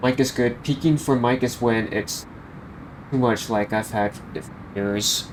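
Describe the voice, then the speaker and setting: Soft-spoken and fairly slow, a man at a medium pitch keeps his intonation fairly even and leaves long, frequent pauses. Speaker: flight sim streamer. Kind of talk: live stream commentary. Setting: live stream.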